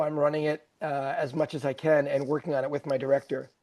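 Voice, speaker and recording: A man's normal speaking voice, fairly high in pitch and at a fairly quick pace. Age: 60s. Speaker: comedian. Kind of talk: interview.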